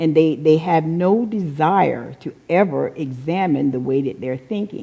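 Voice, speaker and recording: Speaking with an American accent, a woman uses a very deep, low pitch. Her pace is fairly slow and her intonation lively. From North Carolina, US South. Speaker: Unity teacher. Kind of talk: sermon.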